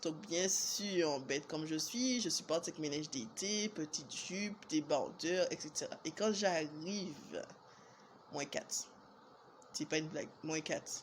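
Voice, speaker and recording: A woman talks at a very slow pace. Her fairly low pitch shows ordinary variation. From Martinique. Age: 20s. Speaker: vlogger. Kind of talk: storytelling vlog. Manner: casual, hesitant with fillers.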